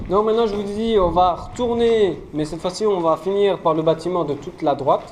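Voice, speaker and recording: Moderate pace over noticeable background noise. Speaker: urbex explorer and video creator. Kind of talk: walking exploration vlog. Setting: indoors, abandoned fort.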